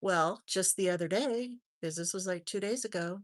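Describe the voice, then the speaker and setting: Over a quiet background, with a dry, close sound and no echo, a woman speaks at a moderate pace in a medium pitch with ordinary pitch variation. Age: 60s. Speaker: true crime livestream host. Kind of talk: casual livestream chat. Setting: live stream with chat. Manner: halting, many fillers.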